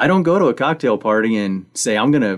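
A plain, everyday voice speaks with an American accent at a fairly quick pace and with lively intonation. The recording is very clean, with a silent background. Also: man. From Missouri. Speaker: podcast host. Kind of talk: radio interview.

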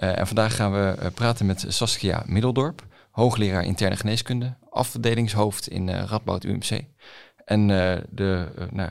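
A man with a plain, everyday voice, fairly low pitch, ordinary pitch variation and a moderate pace, on a very clean recording with a silent background. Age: young. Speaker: podcast host, young doctor. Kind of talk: podcast interview.

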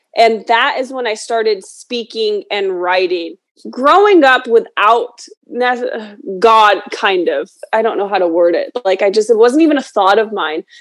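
In an ordinary speaking voice, the speaker talks at a fairly slow pace with lively intonation. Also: woman, fairly high pitch for a woman. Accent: American. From New York. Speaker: author and motivational speaker. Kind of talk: interview.

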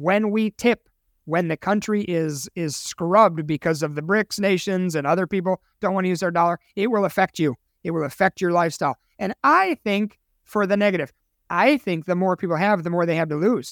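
Fairly quick speech in an American accent on a very clean recording with a silent background. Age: 50s. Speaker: financial advisor and radio host. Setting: radio studio.

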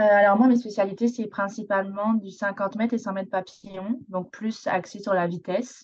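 A normal speaking voice at a moderate pace, with fairly even intonation. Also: woman. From southern France, Côte d'Azur. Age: 20s. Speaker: university swimmer. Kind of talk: radio interview.

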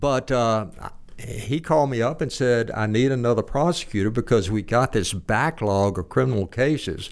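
A man with a Southern US accent speaks at a medium pitch. The recording is very clean, with a silent background. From Arkansas (Little Rock), born in Texas. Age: old. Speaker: retired judge and author. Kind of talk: interview.

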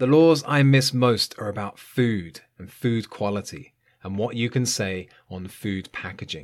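A man's medium-pitched voice with a British accent, lively intonation and a moderate pace, on a very clean recording with a silent background. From UK. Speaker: English teacher podcaster. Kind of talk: scripted educational monologue for learners. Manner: clear, measured pace for learners.

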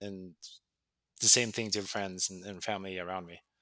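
On a very clean recording with a silent background, a man with a Swedish accent talks at a moderate pace in a bright, sharp tone. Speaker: tech program manager. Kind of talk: interview. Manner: casual.

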